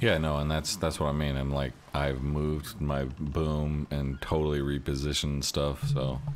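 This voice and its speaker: A man speaks in a very deep, low pitch with monotone, flat intonation. His pace is moderate, with hardly any pauses and very even loudness. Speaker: video game streamer. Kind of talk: live gameplay stream chat. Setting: home streaming setup, no webcam. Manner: sometimes mumbles and gets quiet; casual, loose.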